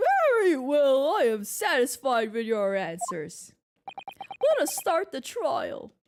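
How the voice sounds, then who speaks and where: This put-on character voice moves along at a fairly slow pace. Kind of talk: formal, judicial.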